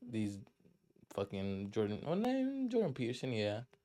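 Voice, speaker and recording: Here a man speaks with a dark, mellow tone and fairly even intonation. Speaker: podcast host. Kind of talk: casual chat. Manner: casual, profane.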